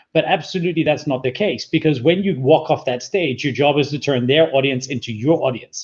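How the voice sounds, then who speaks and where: A man's fairly high voice, somewhat breathy, at a fairly quick pace with ordinary pitch variation and hardly any pauses. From Scotland. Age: 40s. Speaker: public speaking coach and entrepreneur. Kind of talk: interview.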